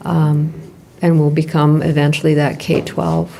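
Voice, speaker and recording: Noticeable background noise surrounds this recording. A woman speaks at a very slow pace in a very deep, low pitch. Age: 60s. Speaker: school leader. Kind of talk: board meeting discussion. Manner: halting, many fillers.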